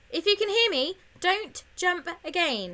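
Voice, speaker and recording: A squeaky, extremely high-pitched woman's voice with lively intonation and a fairly slow pace. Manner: urgent.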